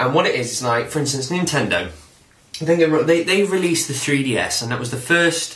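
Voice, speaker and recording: Lively intonation in a Nottingham accent, with audible room echo. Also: man. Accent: Nottingham twang. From Nottingham, England. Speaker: YouTube vlogger. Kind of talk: casual rant vlog. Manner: animated.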